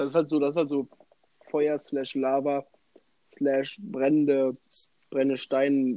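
This man has a fairly high pitch and a dark, mellow tone. He speaks at a fairly slow pace with long, frequent pauses. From western Germany, Bonn. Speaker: podcast co-host. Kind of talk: casual chat. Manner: animated.

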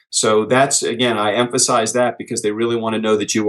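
The pace of this man's speech is very fast. He speaks at a fairly low pitch. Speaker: author and business speaker. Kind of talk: podcast interview.

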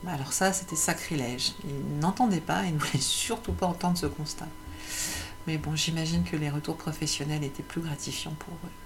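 Through noticeable background noise, a woman with a very deep, low pitch speaks at a moderate pace. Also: ordinary pitch variation. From France, Paris. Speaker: entrepreneur and personal coach. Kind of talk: personal monologue video. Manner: hesitant, many fillers and repetitions.

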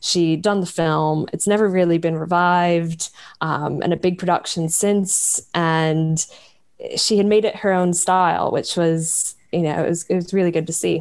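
Against a quiet background, a woman with an American accent speaks at a moderate pace in a fairly low pitch, with monotone, flat intonation and very even loudness. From US, small town in New York State. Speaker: novelist and editor. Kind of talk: interview about her book.

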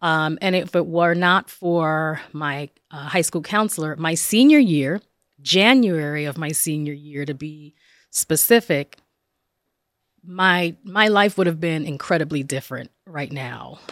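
Someone with a New Jersey accent speaks at a fairly slow pace, with ordinary pitch variation and big swings in loudness, on a very clean recording with a silent background. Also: woman, very deep, low pitch for a woman. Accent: New Jersey American. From northern New Jersey, Passaic. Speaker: professor. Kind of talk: interview.

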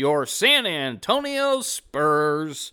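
The recording is very clean, with a silent background. A man uses a put-on character voice at a fairly high pitch. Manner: booming, hyped.

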